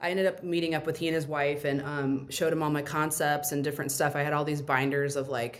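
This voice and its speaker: A woman with a very deep, low pitch talks very fast amid audible room echo. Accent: American. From Indiana, US Midwest. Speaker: restaurant owner. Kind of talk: interview.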